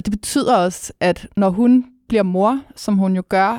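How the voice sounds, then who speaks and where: A woman's very slow speech, dry and close with no echo, on a very clean recording with a silent background. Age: 30s. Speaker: music critic. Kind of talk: casual chat.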